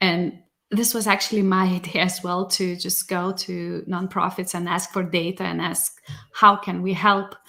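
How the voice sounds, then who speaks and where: Flat and monotone, a woman with a Lithuanian accent speaks at medium pitch and a moderate pace. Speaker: data science executive. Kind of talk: podcast interview.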